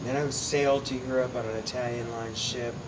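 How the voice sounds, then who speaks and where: A man with a West Coast accent speaks in a monotone, flat way, with audible room echo and noticeable background noise. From southern California (Ojai). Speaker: artist and mezcal producer. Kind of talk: panel talk.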